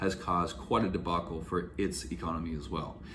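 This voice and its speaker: A man with vocal fry talks at a fairly quick pace, and room echo is audible. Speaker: YouTuber, real estate investor and Airbnb host advisor. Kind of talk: casual vlog commentary.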